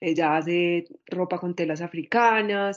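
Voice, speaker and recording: A woman in an Antioquia Colombian accent speaks at a fairly low pitch with fairly even intonation. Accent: Colombian Paisa (Antioquia) Spanish. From Medellín, Colombia. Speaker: Afro-feminist activist. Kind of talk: interview testimony.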